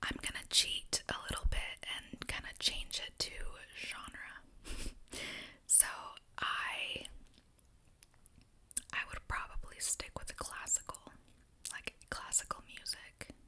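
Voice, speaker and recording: A woman whispers at a very slow pace with long, frequent pauses. Her loudness swings widely over noticeable background noise. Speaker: ASMR creator. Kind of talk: ASMR questionnaire answers while eating snacks. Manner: soft-spoken, whispering.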